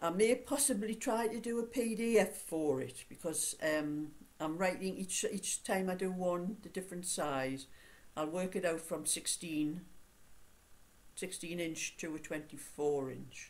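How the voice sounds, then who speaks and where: Very slow speech from a woman, fairly low in pitch. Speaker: knitting vlogger. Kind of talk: casual vlog chat. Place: home room. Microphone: webcam.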